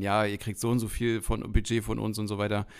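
A man with a fairly low voice talks at a fairly quick pace on a very clean recording with a silent background. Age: 30s. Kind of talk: casual chat.

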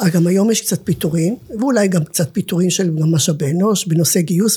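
At a moderate pace, a woman speaks with a fairly low pitch, ordinary pitch variation and a dark, mellow, somewhat breathy tone. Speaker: nonprofit director and academic lecturer. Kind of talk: interview conversation.

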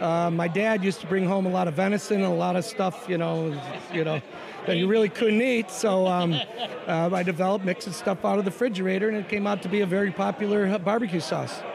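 Over crowd noise in the background, a high-pitched man with an American accent talks at a very fast pace, with very even loudness and fairly even intonation. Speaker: restaurant owner. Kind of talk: casual chat.

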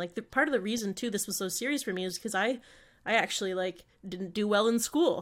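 An ordinary speaking voice with ordinary pitch variation moves at a fairly quick pace on a very clean recording with a silent background. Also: woman. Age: 20s. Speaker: podcast co-host. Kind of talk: casual chat about mental health.

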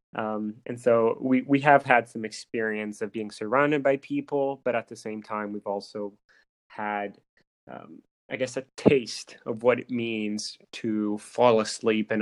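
A man with an unremarkable speaking voice and medium pitch talks at a fairly slow pace with fairly even intonation and big swings in loudness. The sound is dry and close, with no echo. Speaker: podcast host. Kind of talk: casual interview chat.

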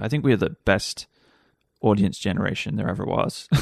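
With lively intonation and vocal fry, a man speaks at a fairly low pitch in a dry, close sound with no echo. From Wales. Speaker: TV director and producer. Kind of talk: casual chat. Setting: home studio.

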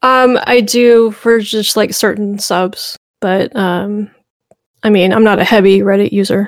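A woman with a slight Southern US accent speaks at medium pitch. Her pace is fairly slow and her intonation monotone and flat. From US South, Memphis, Tennessee. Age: 40s. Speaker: history YouTuber. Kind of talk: casual chat.

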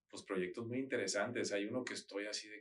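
This is a man with an ordinary speaking voice. His pitch is fairly low, and his intonation stays fairly even. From Mexico, Sinaloa (Mazatlán, Culiacán). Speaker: interior designer and architect. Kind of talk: casual interview.

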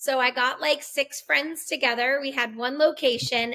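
A woman's raised, projected voice with an American accent, high-pitched and bright, sharp in tone, monotone and flat, at a moderate pace. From Massachusetts. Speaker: filmmaker. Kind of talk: interview.

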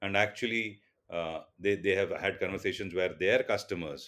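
A man with an Indian accent speaks at a moderate pace and a fairly low pitch. The recording is very clean, with a silent background. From India, Mumbai. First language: Tulu. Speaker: telecom business executive. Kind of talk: interview. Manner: halting with many fillers.

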